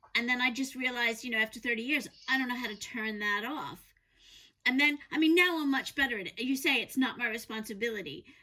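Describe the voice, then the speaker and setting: Speaking in a New York accent, a woman uses a high pitch, lively intonation and a bright, sharp tone. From New York, US. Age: 50s. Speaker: podcast co-host, lawyer and author. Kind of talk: casual conversation.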